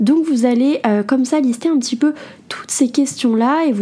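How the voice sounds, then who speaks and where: A woman is speaking. Her tone is dark and mellow. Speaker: podcast host and entrepreneur blogger. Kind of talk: solo self-help podcast talk.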